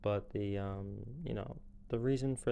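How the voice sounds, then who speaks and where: A dark, mellow tone with ordinary pitch variation. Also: man. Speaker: podcast host. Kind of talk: casual monologue movie review. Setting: pacing around while recording. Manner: halting, many fillers.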